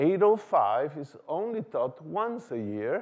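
The background stays quiet. A man talks. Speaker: lecturer. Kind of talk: lecture. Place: hall.

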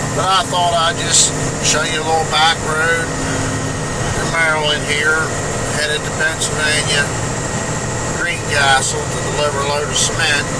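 Over loud background noise, the speaker goes at a fairly slow pace with long, frequent pauses. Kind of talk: casual vlog chat. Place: car. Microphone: phone near.

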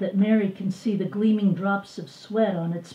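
Plain reading aloud with intonation kept fairly even

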